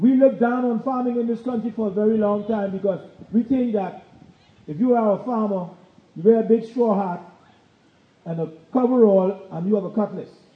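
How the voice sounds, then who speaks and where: This man has a high pitch with ordinary pitch variation. He talks at a fairly quick pace. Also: long, frequent pauses. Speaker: government gardening program head.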